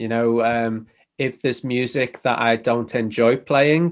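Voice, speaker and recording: A man's medium-pitched voice in a Liverpool accent, with monotone, flat intonation. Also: quiet background. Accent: Liverpool (Scouse). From northern England, Liverpool. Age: 40s. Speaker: chiropractor and DJ. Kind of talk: interview.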